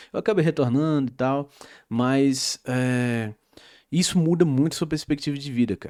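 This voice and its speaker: Dark and mellow in tone yet fairly high in pitch, a man's voice moves at a moderate pace with ordinary pitch variation, dry and close with no echo on a very clean recording with a silent background. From Brazil, interior of Pernambuco. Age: 20s. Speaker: YouTuber and commentator. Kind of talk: casual vlog rant. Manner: hesitant, many filler words.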